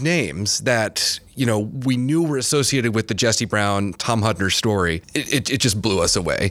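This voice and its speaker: In a very clean recording with a silent background, a man talks in a normal speaking voice with an American accent and lively intonation. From Michigan, Kalamazoo. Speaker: museum curator. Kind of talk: casual chat.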